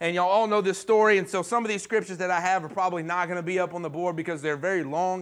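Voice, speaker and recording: The recording is very clean with a silent background. A high-pitched man talks very fast with fairly even intonation. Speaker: pastor. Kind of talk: sermon. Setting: church.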